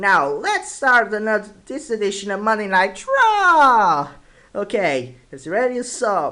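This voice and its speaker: A man's high, bright, sharp voice, raised and projected, with very wide pitch swings at a very slow pace. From Portugal. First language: Portuguese. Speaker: YouTuber, wrestling commentator. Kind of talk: casual vlog commentary. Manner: halting, hesitant.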